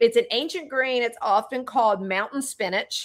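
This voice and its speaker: A woman with a Southern US accent and lively intonation, on a very clean recording with a silent background. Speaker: holistic wellness practitioner and podcast host. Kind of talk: casual chat.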